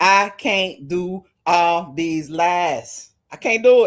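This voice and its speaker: On a very clean recording with a silent background, a woman speaks at a very slow pace with a fairly low pitch and ordinary pitch variation. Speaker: commentary channel host. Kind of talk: live stream commentary. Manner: loud.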